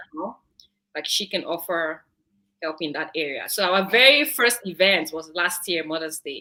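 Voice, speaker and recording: Bright and sharp in tone, a woman with a Nigerian accent speaks at a fairly low pitch. Her pace is moderate and her intonation lively. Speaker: online show co-host. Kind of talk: casual chat.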